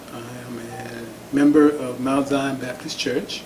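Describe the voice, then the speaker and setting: Speech comes at a very slow pace. Audible room echo and noticeable background noise can be heard. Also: man. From Oklahoma (Tulsa). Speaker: community organization executive. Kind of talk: oral history interview. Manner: halting, many fillers.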